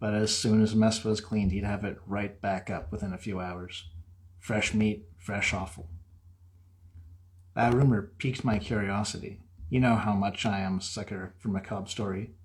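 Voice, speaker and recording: The voice is somewhat breathy, with fairly even intonation. Its pace is moderate. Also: man, fairly low pitch for a man. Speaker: horror author. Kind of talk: horror story reading.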